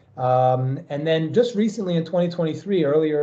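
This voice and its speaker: With an American accent, a man talks at a fairly quick pace in a fairly high pitch. His tone is dark and mellow, and audible room echo surrounds it. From New York. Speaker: professor. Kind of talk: lecture. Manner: fast.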